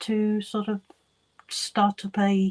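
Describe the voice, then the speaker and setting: A woman's medium-pitched voice, somewhat breathy with a dark, mellow tone, comes through with a dry, close sound and no echo. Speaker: crafting youtuber live streamer. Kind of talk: casual live stream chat. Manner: giggly, hesitant with many ums.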